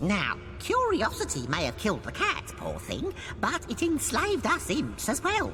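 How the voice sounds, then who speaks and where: Over loud background noise, a put-on character voice speaks at a moderate pace. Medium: machinima. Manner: theatrical, chatty, wry.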